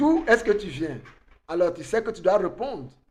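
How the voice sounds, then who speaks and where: A man's high-pitched voice with audible room echo. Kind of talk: online conference talk, sermon-like.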